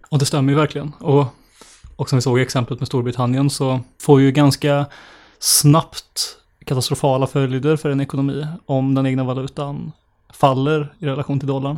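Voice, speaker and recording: Flat and monotone, a man's fairly high voice moves at a moderate pace. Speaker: podcast co-host. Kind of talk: casual chat about economics.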